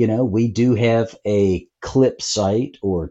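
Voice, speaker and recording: A man speaks with a Southern US accent. His pitch sits fairly low. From US South, North Carolina. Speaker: tech company co-founder. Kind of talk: casual interview.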